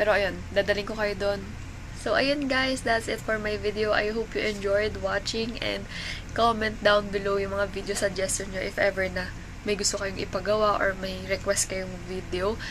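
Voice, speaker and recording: Monotone, flat speech at a moderate pace against noticeable background noise. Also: woman, medium pitch for a woman. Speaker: vlogger. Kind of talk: vlog narration.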